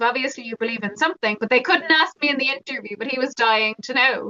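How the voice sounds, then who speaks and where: A woman's high-pitched voice, bright and sharp in tone, with a dry, close sound and no echo. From Ireland, Dublin. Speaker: mindfulness teacher and author. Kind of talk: podcast interview. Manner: conversational, hesitant fillers.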